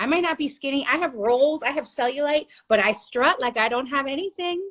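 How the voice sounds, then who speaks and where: A loud, animated woman with a high voice, fairly quick pace and ordinary pitch variation. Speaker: plus-size model and body confidence activist. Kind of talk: interview.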